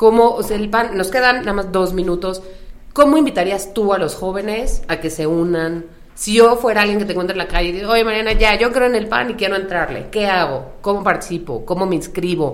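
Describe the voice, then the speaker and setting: A woman speaks at a medium pitch, with audible echo in the room. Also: ordinary pitch variation, fairly quick pace. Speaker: podcast host. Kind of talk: interview. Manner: casual.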